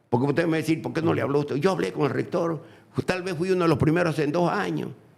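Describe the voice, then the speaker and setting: Noticeable background noise runs under this recording. A man speaks with lively intonation in a fairly high voice. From Bolivia. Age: 80s+. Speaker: former politician. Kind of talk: interview. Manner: animated.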